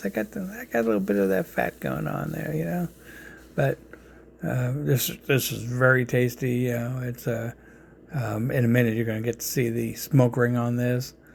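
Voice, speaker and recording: Speaking at a moderate pace with an American accent, a man has a medium pitch and lively intonation. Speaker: home cook presenting barbecue. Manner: casual, halting, many fillers.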